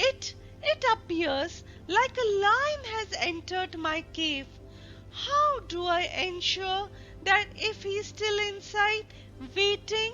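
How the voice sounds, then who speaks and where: A put-on character voice moves at a very slow pace with long, frequent pauses, while clear music plays in the background. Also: woman, extremely high pitch for a woman. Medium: read story.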